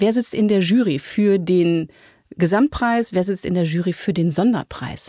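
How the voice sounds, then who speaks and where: Dark and mellow in tone, a woman speaks at a fairly slow pace with ordinary pitch variation. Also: medium pitch for a woman, very even loudness. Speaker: podcast host. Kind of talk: interview and narration. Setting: studio.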